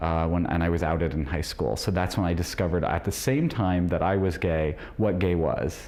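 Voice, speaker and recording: Speaking at a fairly quick pace with hardly any pauses, a man uses a very deep, low voice, very even loudness and ordinary pitch variation. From rural Illinois, US Midwest. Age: 40s. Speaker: debate contestant. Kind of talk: interview. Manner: halting, with many fillers.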